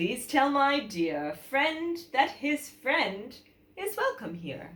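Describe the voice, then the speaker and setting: Using a put-on character voice, a woman speaks at a very slow pace and a high pitch, with very wide pitch swings. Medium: read story. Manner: gracious, kindly.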